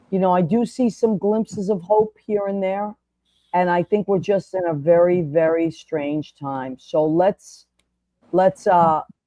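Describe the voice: A woman speaks at a fairly slow pace and fairly low pitch, with fairly even intonation and a dark, mellow tone. The sound is dry and close, with no echo.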